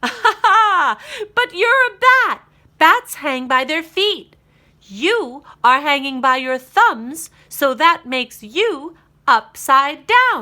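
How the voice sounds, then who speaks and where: A woman performs a put-on character voice, high in pitch, raised and projected, at a very slow pace with very wide pitch swings. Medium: read story. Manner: playful, explanatory.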